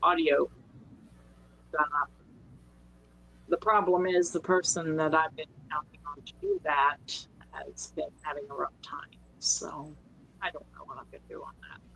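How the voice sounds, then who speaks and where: A woman with an Appalachian accent speaks at a fairly slow pace, leaving long, frequent pauses as her loudness swings widely. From West Virginia, Virginia and Maryland. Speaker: podcast co-host, story reader. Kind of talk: casual chat.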